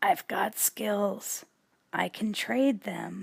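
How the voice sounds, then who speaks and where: A put-on character voice comes out raspy and hoarse. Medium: read story.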